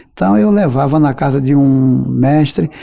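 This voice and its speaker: Dark and mellow in tone, a man's fairly high voice shows ordinary pitch variation. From Brazil, Paraíba (Campina Grande area). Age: 50s. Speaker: accordionist and composer. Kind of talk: interview.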